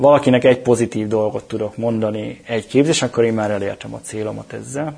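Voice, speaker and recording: A man's medium-pitched voice races at a very fast pace with fairly even intonation. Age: 40s. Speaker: cloud technology specialist. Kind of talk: interview.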